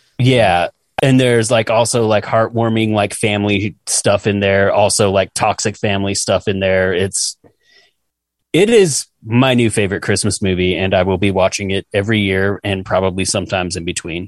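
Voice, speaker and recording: A man with an ordinary speaking voice, fairly low in pitch, at a moderate pace with fairly even intonation, in a dry, close sound with no echo and a quiet background. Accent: American. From Utah. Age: 40s. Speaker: podcast co-host. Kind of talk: casual chat.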